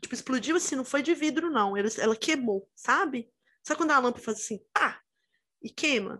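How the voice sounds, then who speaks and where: A woman is speaking. Her intonation is lively. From Minas Gerais, Brazil (Itabira). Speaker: podcast co-host. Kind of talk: casual chat.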